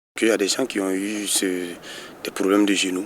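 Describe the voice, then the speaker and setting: Over noticeable background noise, a man speaks in a flat monotone at a fairly low pitch. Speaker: footballer, team captain. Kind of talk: interview. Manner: halting, many repetitions.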